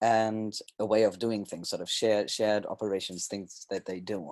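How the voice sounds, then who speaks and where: A man with a German accent, fairly low in pitch, at a very fast pace. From Germany. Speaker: sociocracy trainer and consultant. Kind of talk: presentation. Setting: webinar. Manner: hesitant, with fillers and restarts.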